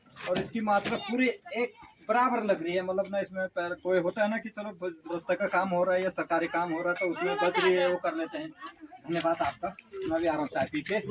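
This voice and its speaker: A man talks at a high pitch with ordinary pitch variation. Crowd noise can be heard in the background. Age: 40s. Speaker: village vlogger. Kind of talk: walking vlog with interviews.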